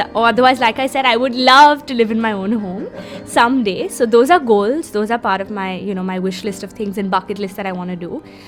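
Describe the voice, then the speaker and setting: A fairly high-pitched woman with ordinary pitch variation, music in the background. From India. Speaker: film actress. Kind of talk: interview answer. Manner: casual, conversational.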